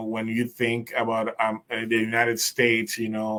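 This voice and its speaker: A man speaks at a medium pitch with a Spanish accent. His pace is moderate. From Puerto Rico. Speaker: program specialist hosting a discussion group. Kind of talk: group discussion. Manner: halting.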